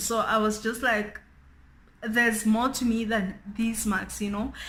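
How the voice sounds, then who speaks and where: A woman's fairly high-pitched voice carries audible room echo. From South Africa, Free State. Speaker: beauty YouTuber. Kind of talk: casual chat.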